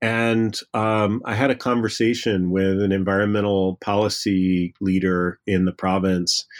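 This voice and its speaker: With an ordinary speaking voice, a man talks at a fairly slow pace and fairly low pitch, the sound dry and close with no echo in a very clean recording with a silent background. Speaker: history professor. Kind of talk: interview.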